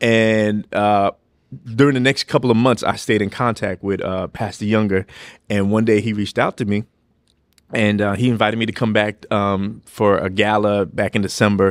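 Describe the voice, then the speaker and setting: A man with an American accent, fairly low-pitched, at a moderate pace in a flat monotone, with a dry, close sound, no echo, and a very clean recording over a silent background. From New York City. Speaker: pastor. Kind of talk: testimony in casual interview.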